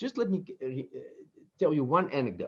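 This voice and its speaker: A man with a Dutch accent talks at a fairly quick pace in a fairly high pitch, against a quiet background. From Netherlands. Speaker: business professor and author. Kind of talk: interview. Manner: halting, with repetitions.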